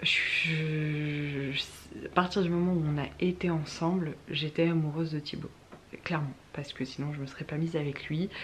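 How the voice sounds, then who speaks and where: A soft-spoken woman talks at a very slow pace with a very deep, low pitch and fairly even intonation. Noticeable background noise can be heard. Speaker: youtuber. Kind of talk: casual chat. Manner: halting.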